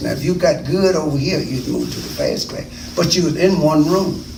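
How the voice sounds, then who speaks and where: A man at a moderate pace, ordinary pitch variation, noticeable background noise and audible room echo. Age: 70s. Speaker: interviewee, school alumnus. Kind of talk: oral history interview. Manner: halting.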